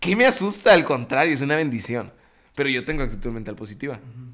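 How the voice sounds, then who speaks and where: A man speaks in an animated tone. His pace is very fast. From Mexico, Juárez, Nuevo León. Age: 20s. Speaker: network marketing entrepreneur. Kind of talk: podcast interview.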